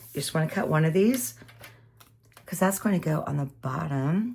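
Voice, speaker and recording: Heard over noticeable background noise, a woman talks with a very deep, low pitch. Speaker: papercraft tutorial creator. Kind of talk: tutorial. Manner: casual chatty.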